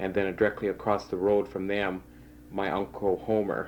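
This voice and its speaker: A man with vocal fry speaks at a fairly low pitch and a fairly quick pace. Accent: western Canadian. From Saskatchewan, Canada (rural Rosetown area). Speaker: oral history interviewee. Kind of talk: oral history interview. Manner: hesitant, many fillers.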